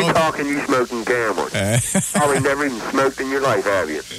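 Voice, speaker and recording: A man talks at a fairly high pitch. Noticeable background noise runs underneath. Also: ordinary pitch variation, fairly quick pace. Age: 20s. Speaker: radio call-in caller.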